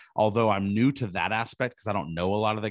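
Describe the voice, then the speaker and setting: Fairly low in pitch, a man talks in a plain, everyday voice with ordinary pitch variation. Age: 40s. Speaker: podcast host. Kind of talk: casual interview.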